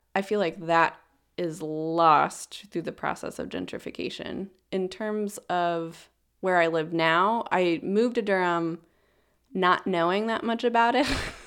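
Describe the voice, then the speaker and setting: In a very clean recording with a silent background, a woman with an American accent has an unremarkable speaking voice at a fairly low pitch, speaking at a fairly slow pace with ordinary pitch variation. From US South, suburban Jacksonville, Florida. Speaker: podcast producer, guest co-host. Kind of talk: casual chat.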